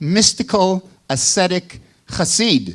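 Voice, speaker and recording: A man with a Chicago accent speaks with ordinary pitch variation on a very clean recording with a silent background. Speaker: professor. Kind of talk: lecture.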